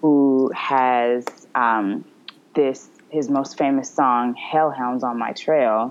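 Speaking slowly in an American accent, a woman uses an extremely low pitch and fairly even intonation.

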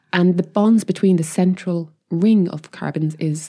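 A woman speaks with an Irish accent in a dark, mellow tone and fairly even intonation. The recording is very clean, with a silent background. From Ireland. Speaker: chemist and crystallography scientist. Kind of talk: casual chat.

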